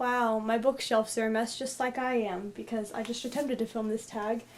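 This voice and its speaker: Music plays in the background as a woman speaks. Her intonation is monotone and flat, at a moderate pace. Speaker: book reviewer. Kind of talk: casual talk to camera.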